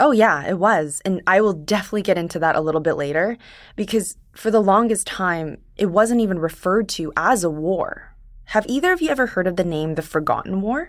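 The recording is very clean, with a silent background. A woman with a plain, everyday voice talks at a fairly quick pace and medium pitch, her intonation lively. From Korean diaspora, first-generation immigrant to Canada. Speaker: podcast producer. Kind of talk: conversational history explainer.

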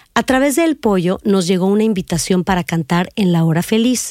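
A woman speaks in a normal speaking voice with lively intonation at a moderate pace. The sound is dry and close, with no echo. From northern Mexico, Reynosa, Tamaulipas. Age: 50s. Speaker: podcast host and narrator telling her own story. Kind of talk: scripted narration.

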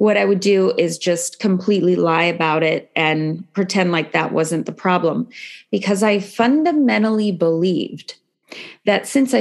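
In a plain, everyday voice with an American accent, the speaker goes at a fairly slow pace with ordinary pitch variation over a quiet background. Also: woman. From San Francisco Bay Area, California. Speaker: meditation teacher in addiction recovery. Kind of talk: casual interview chat.

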